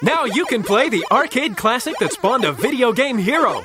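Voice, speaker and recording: A man speaks in a raised, projected voice at an extremely high pitch. His pitch swings very widely. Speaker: voice-over artist. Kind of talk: video game trailer voice-over.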